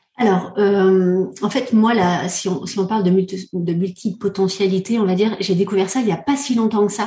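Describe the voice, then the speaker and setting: A woman of medium pitch talks at a moderate pace with hardly any pauses and fairly even intonation. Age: 40s. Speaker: coach and entrepreneur. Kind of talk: casual chat. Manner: halting.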